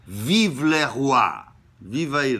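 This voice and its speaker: A man's bright, sharp tone with lively intonation. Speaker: theatre commentator. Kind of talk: lecture-like talk on a play. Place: home room. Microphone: webcam.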